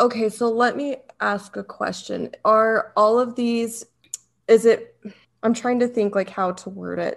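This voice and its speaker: Her pitch fairly high, a woman speaks with monotone, flat intonation. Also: fairly slow pace. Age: 20s. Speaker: podcast co-host. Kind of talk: casual interview.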